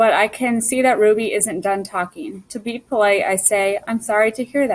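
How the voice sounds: What you hear is a natural reading voice.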